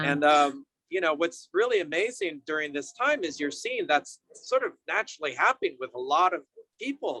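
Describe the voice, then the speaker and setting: Bright and sharp in tone, a man with an American accent speaks at a moderate pace with a high pitch and very wide pitch swings. The sound is dry and close with no echo. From San Francisco Bay Area, California. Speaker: yoga and meditation teacher. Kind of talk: interview answer. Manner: casual, warm.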